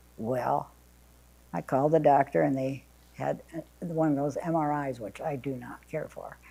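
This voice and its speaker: Using a dark, mellow tone, a woman with an American accent talks at a moderate pace in a very deep, low pitch with vocal fry. Her pitch variation is ordinary, and she takes long, frequent pauses. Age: 80s+. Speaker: retired substitute teacher. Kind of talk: family memoir storytelling. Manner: conversational.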